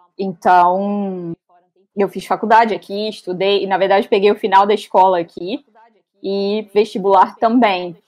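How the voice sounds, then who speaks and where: The woman speaks fairly slowly at a medium pitch. Her intonation is flat and monotone. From São Paulo interior, Brazil. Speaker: English teacher, guest. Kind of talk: casual interview. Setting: live stream.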